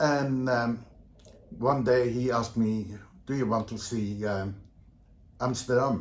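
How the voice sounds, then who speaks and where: Speaking very slowly with long, frequent pauses, a man with a Dutch accent keeps a fairly even intonation while audible room echo surrounds him. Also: medium pitch for a man. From Netherlands, Vlaardingen near Rotterdam. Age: 70s. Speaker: leather community veteran. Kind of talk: interview. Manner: halting, many fillers.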